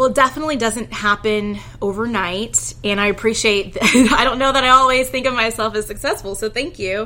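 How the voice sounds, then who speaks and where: A woman with an American accent, fairly high in pitch with ordinary pitch variation, fairly quick with hardly any pauses, over noticeable background noise. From Houston, Texas. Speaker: lawyer. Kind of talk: interview.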